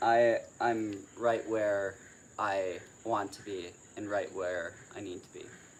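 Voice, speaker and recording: With an American accent, a man speaks at a very slow pace, his loudness swinging widely. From US, Chicago. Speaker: program participant at a retreat. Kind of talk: casual group chat. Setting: livestream.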